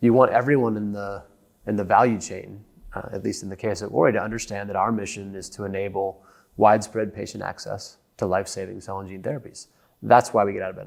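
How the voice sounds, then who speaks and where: With an American accent, a man speaks very fast in a fairly low voice with fairly even intonation, recorded very cleanly against a silent background. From United States. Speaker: company executive. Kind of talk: podcast interview.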